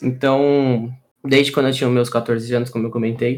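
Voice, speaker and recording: Monotone and flat, a man with a medium-pitched voice speaks at a moderate pace. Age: 20s. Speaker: UX designer. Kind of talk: casual interview. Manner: hesitant with many fillers.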